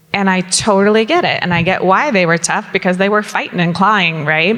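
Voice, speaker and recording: With a Southern California accent, a woman speaks at a fairly quick pace and medium pitch, with ordinary pitch variation. Her loudness stays very even over noticeable background noise. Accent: Valley girl sound. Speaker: company founder on a panel. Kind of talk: panel discussion.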